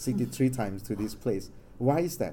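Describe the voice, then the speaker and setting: This man's voice sits at a medium pitch. It has a dark, mellow tone. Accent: Thai. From Thailand. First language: Thai. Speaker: Jesuit researcher. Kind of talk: academic presentation. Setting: stage with audience. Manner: halting.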